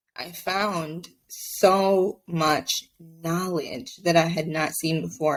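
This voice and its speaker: Speaking at a fairly low pitch with ordinary pitch variation, a woman has a Spanish accent. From Mexico. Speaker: abuse survivor advocate. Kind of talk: podcast interview testimony.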